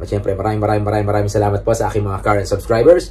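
Over light background noise, a man with a fairly low pitch speaks with fairly even intonation. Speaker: YouTuber. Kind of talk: casual vlog chat. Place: home room. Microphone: phone near.

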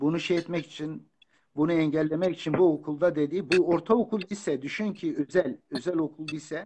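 Moderate in pace, a man talks with ordinary pitch variation. His pitch is fairly high. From Turkey, Kurdish region. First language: Kurdish (speaking Turkish). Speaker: author and lecturer. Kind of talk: interview. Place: home room. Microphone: phone near.

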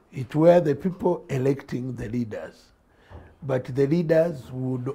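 A man with a fairly high pitch speaks in a dark, mellow, somewhat breathy tone with fairly even intonation. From Uganda. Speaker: politician. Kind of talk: studio interview. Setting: studio. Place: studio. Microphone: lapel.

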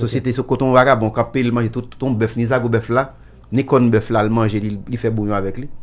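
With monotone, flat intonation, a man speaks at a fairly quick pace. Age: 70s. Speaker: musician. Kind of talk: interview answer. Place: studio. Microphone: studio mic.

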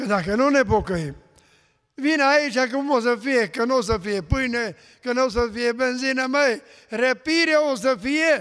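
A man speaks at an extremely high pitch with ordinary pitch variation. His pace is fairly slow, and the background is quiet. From Romania, Mureș county; Romania. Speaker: pastor. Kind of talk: testimony. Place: church. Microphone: podium.

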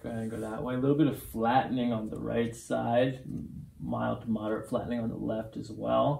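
Audible room echo surrounds a man as he speaks. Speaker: chiropractor. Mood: calm, reassuring. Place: office.

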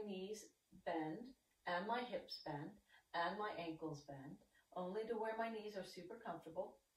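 A woman amid light background noise and audible room echo. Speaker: exercise instructor. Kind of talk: tutorial. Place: home room. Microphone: camera far.

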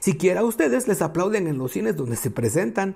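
A man with a high voice whose pitch swings very widely up and down. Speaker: podcast host reading a book aloud. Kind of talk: reading aloud.

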